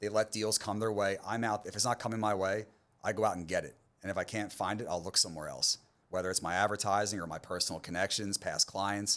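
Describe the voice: A man with an American accent speaks fast in a low pitch, his tone fairly bright and his intonation fairly even.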